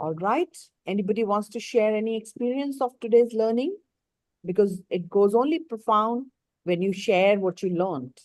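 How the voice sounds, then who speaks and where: Using an ordinary speaking voice, a woman talks with lively intonation at a fairly high pitch. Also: moderate pace. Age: 60s. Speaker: life coach. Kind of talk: live online coaching session.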